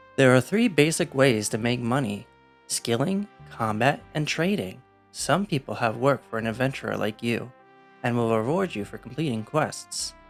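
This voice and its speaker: Music sits in the background as a man with an American accent talks at medium pitch and a moderate pace, his intonation lively. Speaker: English teacher. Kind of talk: reading game character dialogue aloud.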